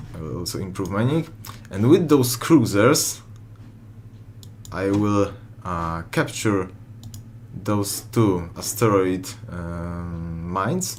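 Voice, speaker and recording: In a Polish accent, a man with a fairly low pitch talks very slowly with long, frequent pauses, lively intonation and big swings in loudness, while audible room echo surrounds him. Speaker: gaming YouTuber. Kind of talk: gameplay commentary. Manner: halting, many fillers.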